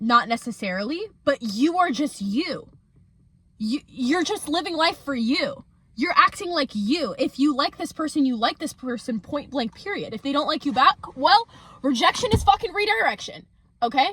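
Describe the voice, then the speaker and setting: A woman speaks loudly in a high, animated voice. Her pitch swings very widely at a moderate pace. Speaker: lifestyle youtuber. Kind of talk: casual vlog monologue.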